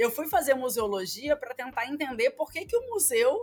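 With a Rio de Janeiro accent, a woman speaks at a high pitch with very wide pitch swings. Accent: carioca. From Rio de Janeiro, Brazil. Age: 30s. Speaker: professor. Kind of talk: interview.

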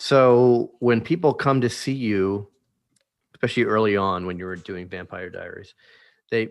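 A man with an American accent and an ordinary speaking voice talks at a moderate pace and medium pitch with ordinary pitch variation against a quiet background. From Washington DC area. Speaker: podcast host. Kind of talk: casual interview chat.

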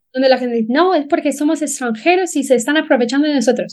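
A woman with an English accent has a dark, mellow tone and ordinary pitch variation. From Ireland, Dublin. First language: English (speaking Spanish). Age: 30s. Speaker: relocation business founder. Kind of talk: interview.

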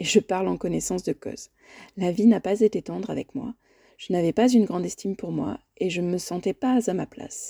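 In a very clean recording with a silent background and a dry, close sound with no echo, a woman speaks fairly quickly in a calm, warm tone, with big swings in loudness. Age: 40s. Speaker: life coach and podcast host. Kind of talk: solo podcast monologue. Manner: calm and warm.

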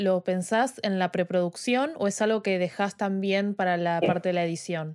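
A woman speaks at a moderate pace and medium pitch in an ordinary speaking voice. The recording is very clean, with a silent background. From Argentina, Buenos Aires. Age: 20s. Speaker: podcast host and photographer. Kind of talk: casual chat. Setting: live stream.

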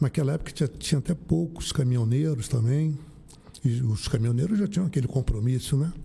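A man's fairly high, somewhat breathy voice with a dark, mellow tone, lively intonation, very even loudness and a fairly quick pace. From Rio de Janeiro, Brazil. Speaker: municipal driver. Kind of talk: casual interview.

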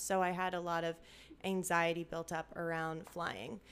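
A woman talks in an ordinary speaking voice with a fairly low pitch. Her intonation stays fairly even. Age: 30s. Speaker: podcast host. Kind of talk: casual chat / testimony. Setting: at friend's home.

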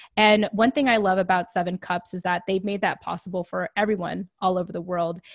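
A plain, everyday voice from a woman at medium pitch and a fairly quick pace, with a dry, close sound with no echo on a very clean recording with a silent background. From US, raised in military family. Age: 30s. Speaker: podcast guest, veterans advocate. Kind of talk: casual interview.

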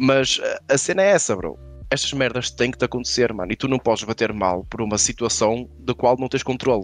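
A man's medium-pitched voice with vocal fry, lively intonation and a fairly quick pace. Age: 30s. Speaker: comedian. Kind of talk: casual chat.

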